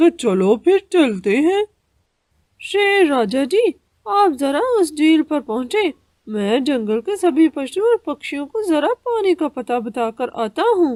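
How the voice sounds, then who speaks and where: In a cartoonish character voice, the speaker uses a high pitch with very wide pitch swings and a fairly slow pace. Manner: sly, ingratiating.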